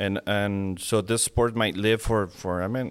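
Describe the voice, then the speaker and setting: Speaking fairly slowly, a man with a Mexican accent uses a fairly low pitch and fairly even intonation. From Mexico (Monterrey). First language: Spanish. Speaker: falconer and lawyer. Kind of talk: casual interview. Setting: at guest's home after dinner. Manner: halting, with many restarts.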